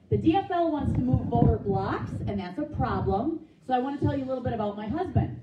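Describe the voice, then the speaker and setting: A woman talks at a fairly quick pace, with audible room echo and noticeable background noise around her. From Minnesota, South Saint Paul. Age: 50s. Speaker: political candidate. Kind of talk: campaign speech. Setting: meeting with live audience. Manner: animated.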